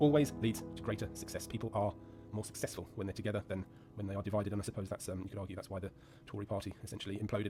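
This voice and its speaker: This man has an English accent and a fairly low pitch. He talks at a very fast pace. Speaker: gaming YouTuber and commentator. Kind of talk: casual monologue while gaming. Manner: hesitant, many fillers.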